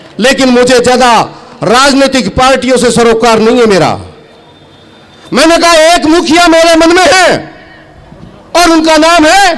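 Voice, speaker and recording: Amid noticeable background noise and audible room echo, a man with an extremely high voice speaks in an animated tone, leaving long, frequent pauses. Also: very even loudness. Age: 60s. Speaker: farmer leader / politician. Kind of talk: political rally speech. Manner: loud.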